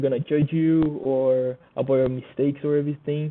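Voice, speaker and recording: In a Portuguese accent, a man talks at a fairly high pitch with flat, monotone intonation. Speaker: student. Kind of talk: class presentation. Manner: halting.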